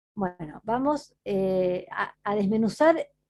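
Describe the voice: Lively intonation from a woman with a dark, mellow tone.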